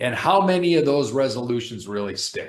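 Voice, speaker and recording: Lively intonation and a fairly high pitch mark this man's delivery, an unremarkable speaking voice. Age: 60s. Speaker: professor and fitness YouTuber. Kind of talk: casual vlog talk.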